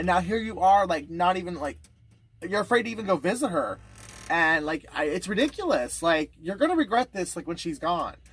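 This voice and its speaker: A high-pitched man with an American accent, fairly quick pace and lively intonation, music in the background. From US Midwest, Indiana. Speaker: YouTuber interviewer. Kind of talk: casual interview. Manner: halting.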